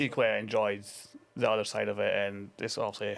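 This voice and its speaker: In a Scottish accent, a man speaks at a fairly quick pace. His pitch is medium. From Scotland, Dundee. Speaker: former international hockey player and coach. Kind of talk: casual interview.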